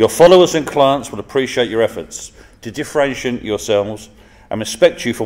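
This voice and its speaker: A man speaks with an English accent at a moderate pace. His intonation is lively. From England. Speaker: professor. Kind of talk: formal speech. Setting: stage with audience.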